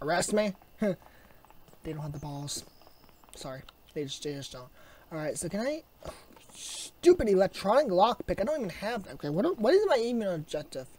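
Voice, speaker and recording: The speaker keeps a moderate pace with long, frequent pauses, and noticeable background noise is present. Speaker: gaming youtuber. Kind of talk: gameplay commentary. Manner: casual, chatty.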